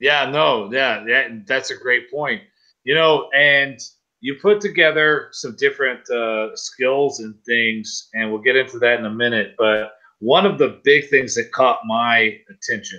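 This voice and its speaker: A man speaks at a fairly slow pace in a medium pitch. His tone is bright and sharp, with ordinary pitch variation. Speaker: gymnastics coach and show host. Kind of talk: interview. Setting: live stream.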